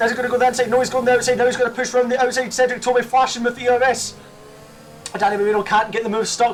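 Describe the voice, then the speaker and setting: At a very fast pace, a man speaks in an extremely high pitch against noticeable background noise. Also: very even loudness. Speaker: sim racing YouTuber. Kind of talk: race commentary over gameplay. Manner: animated.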